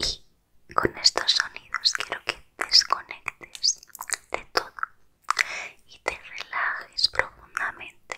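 A woman whispers at a very slow pace. Long, frequent pauses break up her words. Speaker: ASMR creator. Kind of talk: soft whispered ASMR chat. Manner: soft close-mic ASMR murmur. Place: home room. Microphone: studio mic.

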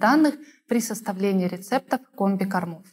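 Speaking at a moderate pace, a woman uses ordinary pitch variation. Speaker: interviewer. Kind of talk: formal interview. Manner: formal. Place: studio. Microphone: lapel.

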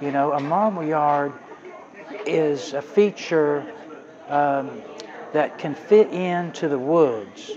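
Talking at a very slow pace with ordinary pitch variation, a man is heard over noticeable background noise. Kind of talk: interview answer. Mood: relaxed, reminiscing. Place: open country. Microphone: lapel.

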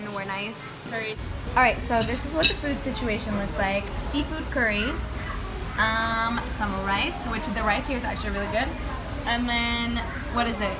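Loud background noise runs under a woman speaking at a moderate pace with long, frequent pauses. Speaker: travel vlogger. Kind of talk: casual vlog chat. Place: beach. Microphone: phone near.

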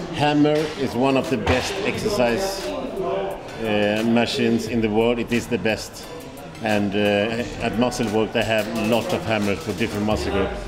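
Male speech at a moderate speed over clearly audible background music. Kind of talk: tutorial. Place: gym.

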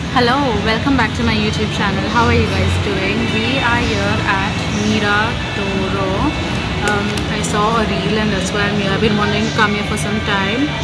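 Loud music plays in the background as a woman speaks at a moderate pace. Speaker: vlogger. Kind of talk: casual vlog chat. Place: cafe. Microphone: phone near.

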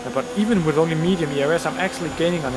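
With noticeable background noise, a man talks at a very fast pace, his pitch fairly high with ordinary variation. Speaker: gaming YouTuber. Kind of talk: gameplay commentary. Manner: halting.

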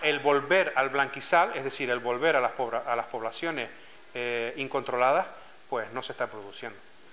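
The voice has a bright, sharp tone and a Canarian accent. It moves at a moderate pace with ordinary pitch variation. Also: man, medium pitch for a man. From Canary Islands, Lanzarote (Arrecife); Canary Islands. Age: 40s. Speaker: scuba diving club president. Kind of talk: interview testimony. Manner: hesitant, with frequent fillers and repetitions. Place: office.

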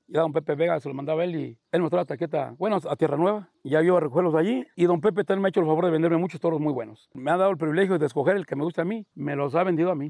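A man's very fast speech, fairly high in pitch, with a dark, mellow tone, ordinary pitch variation and a dry, close sound with no echo. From Mexico, rural Guanajuato. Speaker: bull ranch owner. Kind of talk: casual interview.

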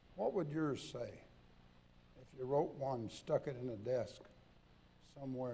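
Somewhat breathy, a man's voice comes through. The tone is dark and mellow. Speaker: preacher. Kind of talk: sermon. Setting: church. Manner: folksy, humorous, conversational. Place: church. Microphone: podium.

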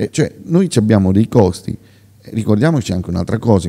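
With a quiet background, a man talks fairly quickly, his pitch varying in an ordinary way. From Marche, Pesaro area (Piobbico); Marche, Italy. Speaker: regional election candidate, former mayor; election candidate. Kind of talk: political interview; political interview answer. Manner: halting, many fillers and repetitions. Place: hall. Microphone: studio mic.

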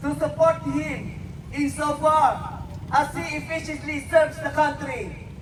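A man speaks very slowly, his loudness swinging widely, with noticeable background noise behind him. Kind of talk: rally speech reading out patriotic quotes in English, like a prepared oration. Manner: formal, measured, declamatory, delivered with solemn oratorical emphasis.

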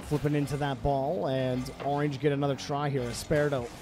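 A man with a fairly high pitch talks at a moderate pace. The sound is dry with no echo, over noticeable background noise. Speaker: esports commentator. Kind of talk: live commentary. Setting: livestream. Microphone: studio mic.

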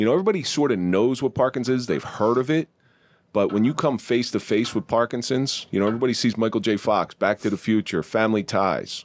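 A man talks at a fairly quick pace with ordinary pitch variation. The recording is dry, with no echo. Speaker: podcast host. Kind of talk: podcast conversation. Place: studio. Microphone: studio mic.

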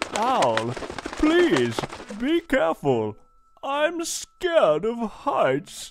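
A cartoonish character voice, fairly high in pitch, moves at a very slow pace with long, frequent pauses. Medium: puppet show. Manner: worried, fretful.

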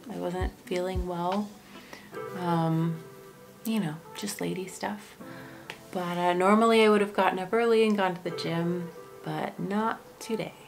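Clear music plays in the background as a woman speaks at a fairly slow pace with fairly even intonation. She leaves long, frequent pauses. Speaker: vlogger. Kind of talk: casual vlog chat. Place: home room. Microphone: phone near.

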